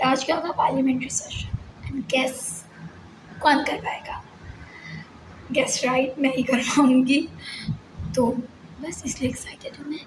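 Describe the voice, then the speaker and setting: A woman's high voice over noticeable background noise, fairly slow and fairly even in intonation, with long, frequent pauses. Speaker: vlogger and school teacher. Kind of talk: casual vlog talk.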